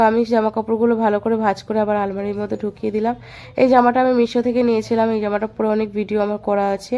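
A woman's voice, fairly high in pitch with a dark, mellow tone. Her intonation is flat and monotone. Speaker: housewife vlogger. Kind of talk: vlog voiceover narration. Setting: at her parents' home.

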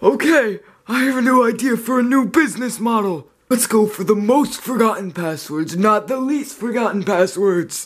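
A man uses a put-on character voice at a high pitch with ordinary pitch variation. He keeps a moderate pace with hardly any pauses. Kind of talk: comedy sketch dialogue. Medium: comedy sketch. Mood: flustered boss.

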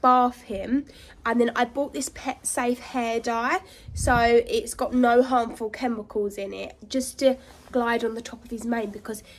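High pitch from a woman, fairly slow, with fairly even intonation. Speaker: horse rider vlogger. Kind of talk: casual vlog chat. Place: farm machine. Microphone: phone near.

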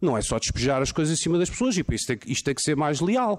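A man talks fairly quickly in a fairly high voice, his pitch swinging very widely. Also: quiet background. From Portugal. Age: 40s. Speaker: lawyer. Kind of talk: conference talk. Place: hall. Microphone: podium.

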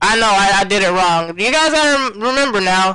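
A man speaks in a raised, projected voice. His tone is bright and sharp, with ordinary pitch variation. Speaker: gaming commentator streamer. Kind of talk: live gameplay commentary. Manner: loud; animated.

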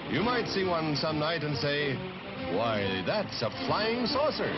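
Over loud background music, a man speaks at a fairly high pitch with very wide pitch swings. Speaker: newsreel narrator. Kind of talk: newsreel narration. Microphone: old recording.

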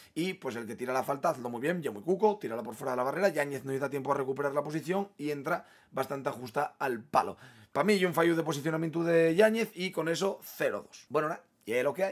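Quiet surroundings frame a man talking very fast, his pitch fairly high, his tone animated, and his intonation lively. His loudness swings widely. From Asturias, Spain. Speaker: football fan youtuber. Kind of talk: match opinion monologue. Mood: frustrated, opinionated. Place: home room.

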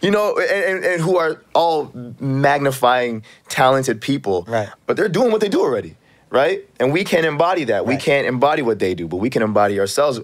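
A man's animated, fairly high voice at a fairly quick pace, with very wide pitch swings, over a quiet background. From Canada, Toronto. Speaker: actor. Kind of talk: casual chat. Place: studio. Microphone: studio mic.

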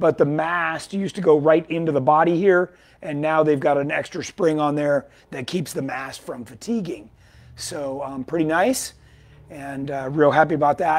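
Speaking at a moderate pace, the man shows ordinary pitch variation. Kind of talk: casual product update talk. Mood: enthusiastic. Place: shop.

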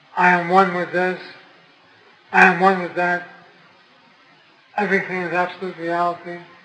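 Over noticeable background noise, a man with a high pitch talks at a moderate pace in a monotone, flat intonation, leaving long, frequent pauses. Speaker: spiritual teacher. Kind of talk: spiritual talk to an audience.

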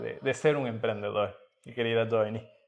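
Against a quiet background, a man is speaking. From Ecuador, Atuntaqui near Quito; Ecuador. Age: young. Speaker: entrepreneur and mentor; guest. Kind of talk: interview. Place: hall. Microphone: camera far.

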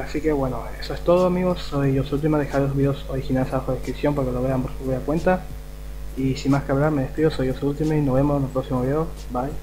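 Noticeable background noise fills the clip. A man talks very fast over it. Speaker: youtuber. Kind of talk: casual reaction video outro. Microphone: webcam.

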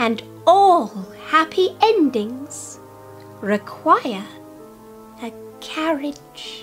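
A female-sounding put-on character voice, high-pitched, speaks at a very slow pace over clear music in the background. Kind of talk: children's book read-aloud. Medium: read story. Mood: kind, reassuring.

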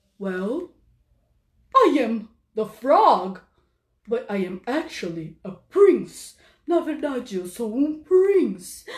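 A woman speaks in a put-on character voice, pitched high. Her pitch swings very widely, and she talks very slowly with long, frequent pauses. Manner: gentle, dignified.

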